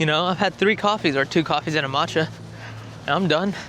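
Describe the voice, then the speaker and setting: The voice moves at a fairly quick pace with ordinary pitch variation over noticeable background noise. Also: man. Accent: slight Alabama. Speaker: YouTuber, drifting enthusiast. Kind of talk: travel vlog, casual talk to camera. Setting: outdoors. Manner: animated.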